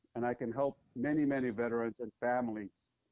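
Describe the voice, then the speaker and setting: Speaking at a moderate pace, a man with an American accent has a plain, everyday voice, medium in pitch, with fairly even intonation. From Philippines, raised in the US from childhood. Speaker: business owner and army veteran. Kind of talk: interview. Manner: formal.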